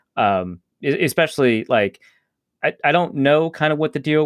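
A plain, everyday voice from a man with a fairly high pitch, at a moderate pace, dry and close with no echo on a very clean recording with a silent background. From Upper Midwest US. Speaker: sports journalist. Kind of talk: casual chat.

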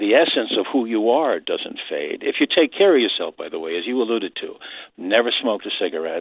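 A man talks in a New York accent. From New York City, Queens. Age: 70s. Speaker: caller, retired radio man. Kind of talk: phone-in call.

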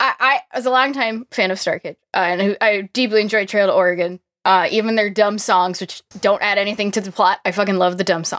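A woman talks in a plain, everyday voice at a medium pitch with fairly even intonation. Her fairly quick pace has hardly any pauses, and the sound is dry and close with no echo. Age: 20s. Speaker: podcast guest, musical theatre fan. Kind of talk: casual chat.

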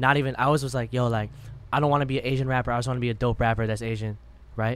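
Very fast and in a monotone, flat delivery, a man speaks at medium pitch with an American accent. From Madison, Wisconsin. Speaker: rapper. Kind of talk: casual chat.

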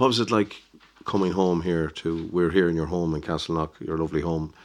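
A man with an Irish accent, very deep and low in pitch, fairly quick in pace, with fairly even intonation. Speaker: podcast host. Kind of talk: interview.

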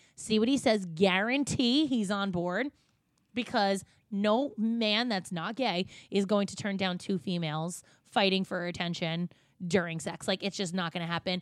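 With an American accent, a woman speaks at medium pitch and a moderate pace, her pitch varying in an ordinary way, in a very clean recording with a silent background. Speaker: podcast host and hairstylist. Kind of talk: casual chat. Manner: animated.

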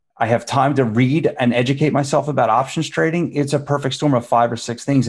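A man with a plain, everyday voice, fairly even intonation and a fairly quick pace, on a very clean recording with a silent background. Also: hardly any pauses. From Philadelphia, US. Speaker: stock exchange executive. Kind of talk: interview.

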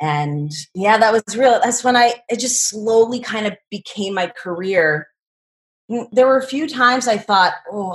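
Somewhat breathy and fairly slow, a woman speaks with lively intonation. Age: 40s. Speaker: professional skydiver. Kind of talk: interview. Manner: laid back.

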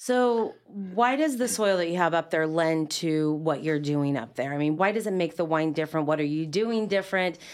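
In a very clean recording with a silent background, a woman with an ordinary speaking voice and fairly low pitch talks at a moderate pace with lively intonation, very even loudness and hardly any pauses. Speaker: radio podcast host. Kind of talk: interview. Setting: studio.

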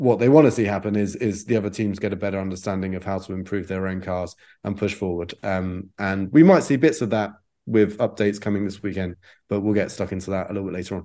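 Over a quiet background, a man talks very fast at a fairly low pitch, his dark, mellow tone held in fairly even intonation. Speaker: motorsport journalist. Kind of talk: casual podcast chat.

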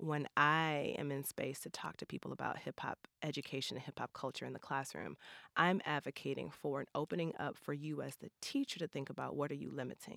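Speaking at a fairly quick pace with hardly any pauses, a woman has a very deep, low pitch, vocal fry, a bright, sharp tone and fairly even intonation, in a dry, close sound with no echo. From St. Louis, Missouri (north side). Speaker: artist, educator and choreographer. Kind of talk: casual interview. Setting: studio.

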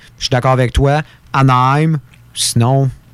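A man's fairly high voice in a Quebec accent, monotone and flat, at a moderate pace. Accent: Québécois French. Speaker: hockey radio panelist. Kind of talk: hockey talk radio panel.

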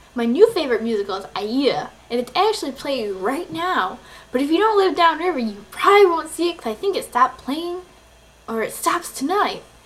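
Very wide pitch swings at a fairly quick pace, over noticeable background noise. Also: woman, high pitch for a woman. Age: 20s. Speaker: video podcaster, college student. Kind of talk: casual vlog monologue.

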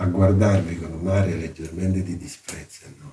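A man's very deep, low-pitched voice, dark and mellow in tone and somewhat breathy. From southern Italy, Salerno area. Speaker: art history professor. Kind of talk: interview.

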